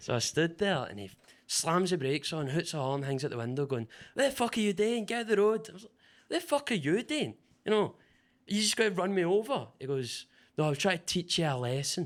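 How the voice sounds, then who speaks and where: This man speaks with a Glasgow accent at a fairly quick pace, his pitch high with very wide swings and his loudness rising and falling sharply, on a very clean recording with a silent background. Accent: Scottish (Glasgow area). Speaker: stand-up comedian. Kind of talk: stand-up. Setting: stage with audience.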